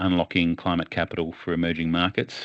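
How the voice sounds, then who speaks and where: In an Australian accent, a man speaks at a very deep, low pitch. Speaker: webinar moderator. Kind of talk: webinar moderation.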